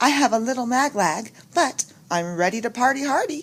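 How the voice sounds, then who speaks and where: A woman performs a put-on character voice with a high pitch and cackling. The pace is moderate. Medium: read story. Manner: cackling, sassy.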